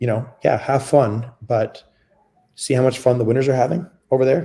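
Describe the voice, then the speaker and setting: A somewhat breathy man with a dark, mellow tone and ordinary pitch variation. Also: medium pitch for a man, moderate pace. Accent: Canadian. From Canada. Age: 40s. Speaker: former lacrosse player. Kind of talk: interview. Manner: casual, with many fillers.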